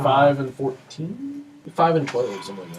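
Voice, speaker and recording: The background carries noticeable noise. Through it, a man talks at a moderate speed. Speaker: college sports radio commentator.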